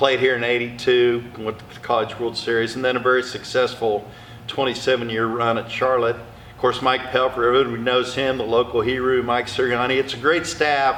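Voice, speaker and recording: Amid noticeable background noise, a man with an American accent talks at a fairly quick pace and medium pitch, with hardly any pauses. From Oklahoma (Perry). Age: 60s. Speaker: retired college baseball coach. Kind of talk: interview conversation. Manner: animated.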